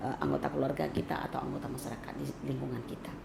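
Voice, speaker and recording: A woman in a West Sumatran accent, with noticeable background noise. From West Sumatra (Minangkabau). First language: Minangkabau (speaking Indonesian). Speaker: cultural commentator. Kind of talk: interview.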